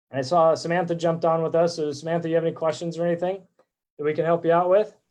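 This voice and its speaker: A man speaks very fast in a high pitch, his intonation monotone and flat. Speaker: real estate agent. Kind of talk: live stream presentation. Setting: live video stream. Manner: loud.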